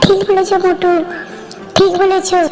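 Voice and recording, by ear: A woman does a cartoonish character voice. Clear background noise can be heard.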